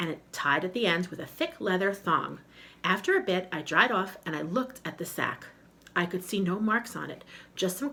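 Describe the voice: Simply plain reading aloud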